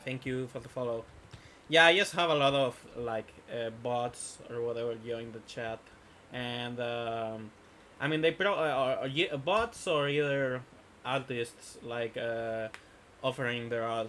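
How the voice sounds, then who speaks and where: A man with a Spanish accent speaks at a fairly slow pace and medium pitch, with ordinary pitch variation and big swings in loudness. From Spain. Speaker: gaming streamer. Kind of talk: casual live stream chat. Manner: halting, many fillers.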